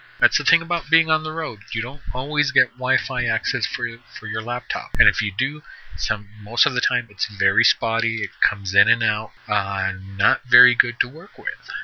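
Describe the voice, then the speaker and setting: A man talks in a normal speaking voice at a medium pitch. His pace is moderate and his pitch varies in an ordinary way. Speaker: podcaster and gamer. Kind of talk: solo podcast monologue. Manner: casual, conversational.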